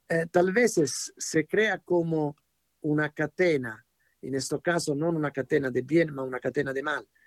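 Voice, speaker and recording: Speaking at a fairly slow pace with an Italian accent, this man has a fairly high pitch, ordinary pitch variation, and a dry, close sound with no echo. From Italy. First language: Italian (speaking Spanish). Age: 70s. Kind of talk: radio interview teaching. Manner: hesitant, searching for words.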